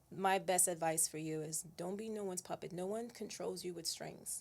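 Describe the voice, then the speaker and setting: A woman with a plain, everyday voice talks at a moderate pace with a medium pitch. Her intonation is fairly even. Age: 30s. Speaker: fitness trainer and nutritionist. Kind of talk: casual chat.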